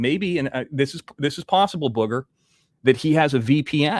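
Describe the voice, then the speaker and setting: Over a very clean recording with a silent background, a man talks at a moderate pace. His fairly high voice has lively intonation. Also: dry, close sound with no echo. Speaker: live-stream news show host. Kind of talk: live-stream commentary, casual talk to camera. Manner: conversational, blunt, occasionally irritated.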